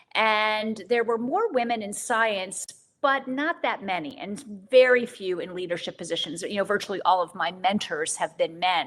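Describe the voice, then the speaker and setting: Speaking at a moderate pace, a woman with a plain, everyday voice uses lively intonation at a medium pitch. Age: 60s. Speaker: physician scientist and author. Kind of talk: interview.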